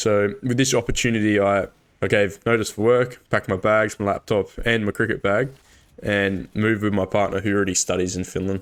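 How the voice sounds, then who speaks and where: A man's fairly low, monotone voice with flat intonation at a fairly quick pace, on a very clean recording with a silent background. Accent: Australian. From Australia. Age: 20s. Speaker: gaming YouTuber. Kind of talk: casual vlog talk.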